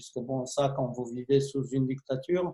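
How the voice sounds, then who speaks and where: A man's dark, mellow, somewhat breathy voice at a fairly slow pace, with ordinary pitch variation. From Romania. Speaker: film director. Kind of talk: interview. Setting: video call.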